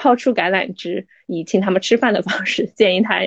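A woman speaks at a medium pitch. Vocal fry creeps into her voice. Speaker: lawyer. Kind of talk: interview. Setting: podcast.

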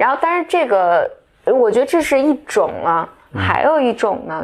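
A woman's pitch swings very widely as she talks. The recording is very clean, with a silent background. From mainland China. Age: 30s. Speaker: podcast co-host. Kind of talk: casual chat.

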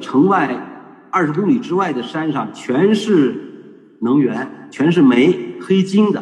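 Amid noticeable background noise, a man speaks very slowly at a high pitch. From northern China, Shanxi (Datong). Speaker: traditional culture educator. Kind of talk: online panel talk. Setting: video call.

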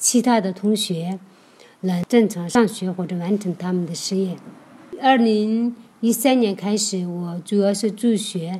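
A woman speaks with a Tibetan accent at a medium pitch. Her pace is fairly slow, with ordinary pitch variation. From Hongyuan County, Aba, Sichuan (Tibetan herding area). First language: Tibetan (speaking Chinese). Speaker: nonprofit office worker and charity volunteer. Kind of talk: personal testimony. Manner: halting.

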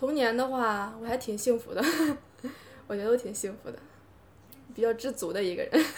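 A woman with a fairly high pitch speaks with long, frequent pauses. Her loudness swings widely, and background noise is noticeable. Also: ordinary pitch variation, fairly quick pace. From Hebei. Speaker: podcast guest. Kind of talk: casual chat.

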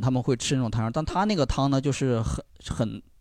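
On a very clean recording with a silent background, a man speaks with an unremarkable speaking voice. His medium pitch carries lively intonation at a fairly quick pace. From Sichuan, China. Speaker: live audience member. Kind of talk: casual chat.

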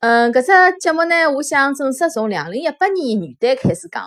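Speaking at a moderate pace, a woman talks in a Shanghai accent. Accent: Shanghainese speaker. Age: 30s. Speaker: children's storytelling podcaster. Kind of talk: channel introduction monologue.

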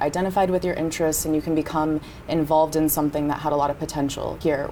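Over noticeable background noise, a woman with an American accent talks very fast at a fairly low pitch, her intonation monotone and flat. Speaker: business school student. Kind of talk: casual chat.

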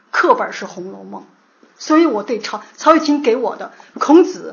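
At a moderate pace, a woman's voice makes very wide pitch swings, with audible room echo. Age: 50s. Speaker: literature lecturer. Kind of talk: lecture.

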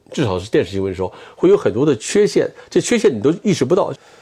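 This man's voice has a dark, mellow tone. There is vocal fry in it. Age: 60s. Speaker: TV news cameraman. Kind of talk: interview. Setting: at home.

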